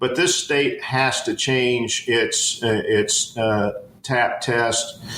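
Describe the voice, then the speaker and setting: Against noticeable background noise, a man speaks at a very slow pace with very even loudness. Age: 60s. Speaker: education professor. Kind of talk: interview. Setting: podcast. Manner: halting, many fillers.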